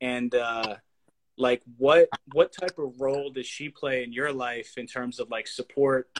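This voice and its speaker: With an American accent, a man talks fairly slowly in an unremarkable speaking voice at medium pitch, his intonation fairly even but his loudness swinging widely, in a dry, close sound with no echo. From Pennsylvania, Lebanon area. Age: 20s. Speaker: podcast host. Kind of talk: casual chat. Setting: livestream.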